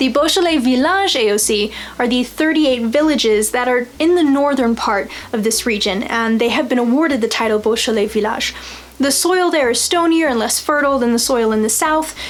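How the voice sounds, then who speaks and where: A woman with an American accent talks fairly quickly at a high pitch, her intonation lively and her loudness very even, with audible room echo and noticeable background noise. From United States. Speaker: wine video host. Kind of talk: educational vlog.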